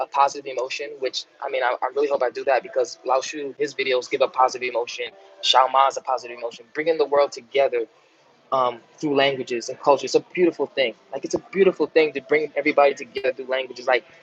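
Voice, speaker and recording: A man with a New York accent speaks very fast in a dry, close sound with no echo, with noticeable background noise behind him. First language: American Sign Language. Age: 20s. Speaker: language YouTuber. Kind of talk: live stream Q&A. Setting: live stream. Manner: animated.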